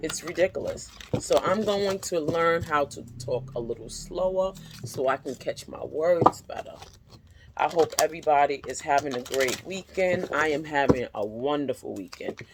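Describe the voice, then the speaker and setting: A woman's very deep, low voice at a moderate pace, lively in intonation, with big swings in loudness and noticeable background noise. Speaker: tarot reader. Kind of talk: tarot reading monologue.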